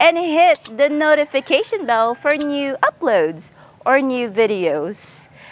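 A woman with a Visayan Filipino accent, high-pitched with very wide pitch swings, at a very slow pace, in a dry sound with no echo and light background noise. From Philippines. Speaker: vlogger. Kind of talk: vlog interview. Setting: outdoors. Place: street. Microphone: lapel.

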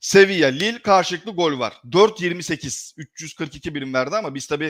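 A man's lively intonation in a very clean recording with a silent background. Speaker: sports betting analyst. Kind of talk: live stream commentary. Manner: fast.

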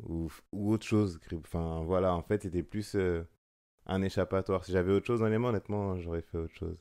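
Against a quiet background, a man speaks at a fairly quick pace with fairly even intonation. His voice is very deep and low, with a dark, mellow tone. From France, Seine-et-Marne; France. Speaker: photographer; guest. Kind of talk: casual chat. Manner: hesitant, many fillers. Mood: calm, reflective. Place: home room. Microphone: studio mic.

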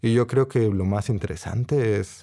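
On a very clean recording with a silent background, a man with a medium pitch speaks in a dark, mellow tone with ordinary pitch variation. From Costa Rica and Puerto Rico. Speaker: novelist and professor. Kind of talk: casual conversation.

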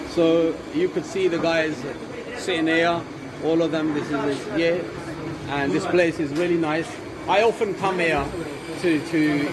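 A man speaks at a fairly slow pace with long, frequent pauses. Background noise is noticeable. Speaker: food vlogger. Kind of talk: casual vlog chat. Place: cafe. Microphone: phone near.

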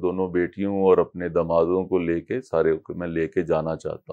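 This man has a very deep, low voice and talks at a fairly slow pace. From Punjab, India. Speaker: devotee sharing experiences; interviewee. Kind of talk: interview testimony. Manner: halting. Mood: reflective, devotional. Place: home room. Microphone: lapel.

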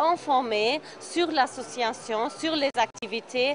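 Her voice sits at a high pitch, and the intonation stays fairly even. A woman is speaking over faint background noise.

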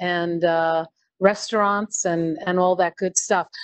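Her intonation is monotone and flat as the woman talks. The background is quiet and the sound dry, with no echo. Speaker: event host. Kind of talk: live-streamed interview and moderation. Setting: on location in a restaurant, live stream. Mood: friendly, upbeat. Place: cafe.

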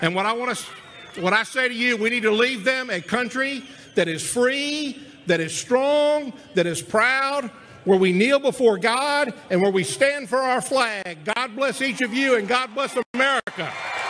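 Amid light background noise, a man with an extremely high pitch speaks in a raised, projected voice at a fairly slow pace, with ordinary pitch variation. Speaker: party chairman and political speaker. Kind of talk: rally speech. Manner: emphatic, fiery; rhetorical, building in repeated phrases. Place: stadium. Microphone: podium.

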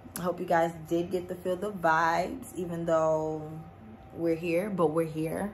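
Over light background noise, a woman speaks in a fairly low pitch, somewhat breathy. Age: 20s. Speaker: body contouring technician. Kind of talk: casual talk to camera. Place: empty room. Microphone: phone near.

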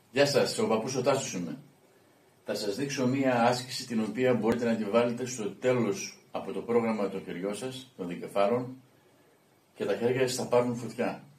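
A man at a moderate pace with fairly even intonation, in audible room echo. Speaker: fitness vlogger. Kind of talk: exercise tutorial. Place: gym. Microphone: camera far.

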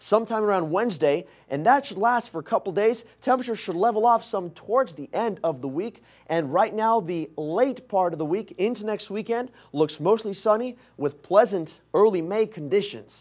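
Against a quiet background, a man with a high pitch talks at a moderate pace with lively intonation. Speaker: meteorologist. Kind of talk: TV weather forecast. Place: studio.

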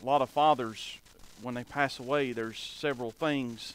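This man's tone is bright and sharp, with fairly even intonation and a moderate pace. The sound is dry, with no echo. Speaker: preacher. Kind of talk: sermon. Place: church.

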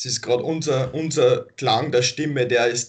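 Against a quiet background, a man speaks fairly slowly in a somewhat breathy voice with fairly even intonation. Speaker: activist group member; interview guest. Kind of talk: interview. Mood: calm, friendly, smiling. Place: home room. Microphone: video call.

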